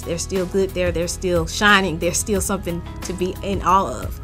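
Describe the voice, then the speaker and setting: A woman speaks at a moderate pace in a Mississippi accent. Music plays behind her. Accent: Mississippi Southern US. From Jackson, Mississippi. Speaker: author. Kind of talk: author interview to camera.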